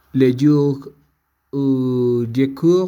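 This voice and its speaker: A man speaks with a Spanish accent. His tone is dark and mellow, with ordinary pitch variation. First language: Spanish (speaking French). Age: 30s. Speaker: language student. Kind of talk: reading aloud.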